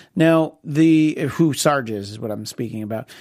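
A man speaks at a fairly slow pace with an unremarkable speaking voice and ordinary pitch variation. The recording is very clean, with a silent background. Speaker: TV show host. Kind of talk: casual chat about TV shows.

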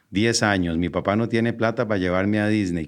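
Against a quiet background, a man with fairly low pitch and fairly even intonation talks in an unremarkable speaking voice. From Costa Rica. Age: 40s. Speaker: entrepreneur and marketer. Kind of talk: interview.

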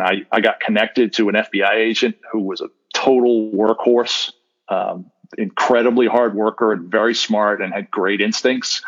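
A man speaks at a moderate pace with an American accent and a medium pitch. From US Northeast. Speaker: defense lawyer. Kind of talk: interview.

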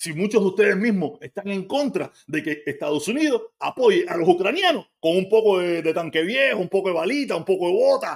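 Talking very fast in a Cuban accent, a man with a high pitch uses lively intonation and an animated tone. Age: 50s. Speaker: livestreamer. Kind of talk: live stream commentary.

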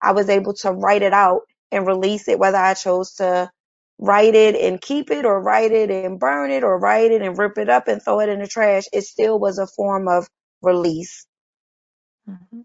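A woman with an American accent at a medium pitch and moderate pace, ordinary pitch variation, an unremarkable speaking voice. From Chester, Pennsylvania, near Philadelphia. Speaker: poet and author. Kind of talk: interview.

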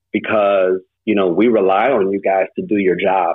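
A man's fairly low voice in a Midwestern American accent, with fairly even intonation. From St. Louis, Missouri. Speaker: former police detective and security entrepreneur. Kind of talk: casual interview.

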